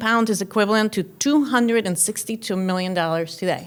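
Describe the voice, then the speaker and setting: A woman with a Cuban accent talks at a fairly quick pace. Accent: Cuban Spanish accent, noticeable. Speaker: keynote speaker. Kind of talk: keynote speech. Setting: luncheon with audience.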